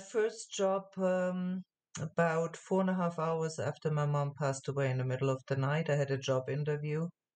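A woman's pitch varies in an ordinary way as she talks at a moderate pace. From Germany. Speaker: translation agency owner. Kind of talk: interview. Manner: halting, repeated words.

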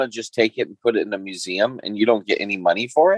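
Speaking extremely fast, a man lets his intonation rise and fall animatedly. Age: 50s. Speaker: podcast co-host and speaker. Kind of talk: casual chat. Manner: halting.

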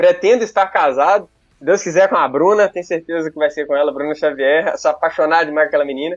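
Very fast talk from a man with a Bahian accent, fairly high in pitch with ordinary variation. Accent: Bahian-sounding Brazilian Portuguese. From northeastern Minas Gerais, Brazil (near Bahia border). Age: 20s. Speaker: medical student and content creator. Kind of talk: casual interview chat. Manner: talkative.

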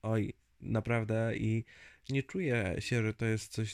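A man speaks at a very slow pace with a medium pitch and fairly even intonation. The sound is dry and close, with no echo. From central Poland, Zgierz near Łódź. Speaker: podcast host. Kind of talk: solo monologue podcast. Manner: hesitant, repeats words.

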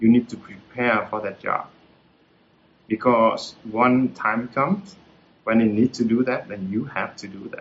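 A man speaks with a Vietnamese accent and fairly even intonation. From central Vietnam (Hue). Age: 40s. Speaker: retired tech entrepreneur. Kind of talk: talk with Q&A. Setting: video call. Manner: hesitant, many fillers.

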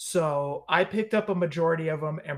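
Male voice, fairly high-pitched and somewhat breathy. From US West Coast, San Leandro, California. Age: 40s. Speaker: wrestling figure podcast host. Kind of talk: casual chat.

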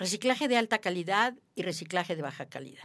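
The recording is very clean and the background silent. Her voice, a woman's, swings very widely in pitch. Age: 80s+. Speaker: biologist and environmental expert. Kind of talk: interview.

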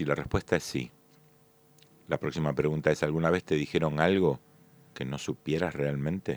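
A man's very deep, low voice with vocal fry and a Rioplatense accent, dry and close with no echo. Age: 60s. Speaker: magician and comedian. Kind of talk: solo monologue podcast.

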